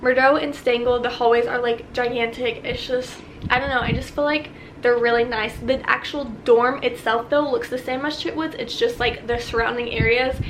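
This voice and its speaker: A high-pitched woman's voice with audible room echo and noticeable background noise. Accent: American. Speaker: vlogger, college student. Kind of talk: casual Q&A vlog. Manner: fast; animated.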